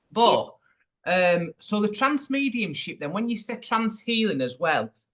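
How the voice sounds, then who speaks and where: A man with a Yorkshire accent speaks at a moderate pace. His tone is bright and sharp, and his intonation lively. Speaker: podcast host. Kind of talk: casual interview.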